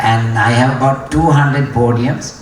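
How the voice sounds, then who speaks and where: A man talks with a Sri Lankan accent at a medium pitch and fairly even intonation. Audible room echo and noticeable background noise are present. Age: 60s. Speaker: racing driver. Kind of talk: graduation speech. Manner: hesitant, many fillers.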